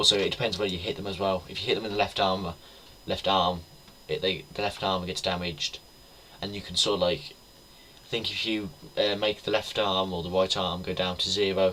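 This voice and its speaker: This voice has a British accent. It breaks often with long pauses. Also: fairly quick pace. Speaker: gaming YouTuber. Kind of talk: gameplay commentary. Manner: halting, stuttering; casual.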